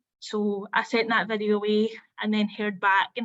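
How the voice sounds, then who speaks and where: A woman speaks with a Scottish accent in a fairly high pitch. Her pace is moderate. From Scotland. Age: 20s. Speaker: apprentice. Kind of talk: testimony. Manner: hesitant, with filler words.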